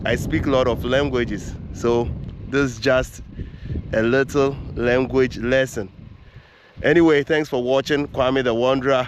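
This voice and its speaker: Over noticeable background noise, a man talks fairly slowly at a medium pitch, with very even loudness, monotone, flat intonation and long, frequent pauses. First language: Fante. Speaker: travel vlogger. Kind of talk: travel vlog commentary.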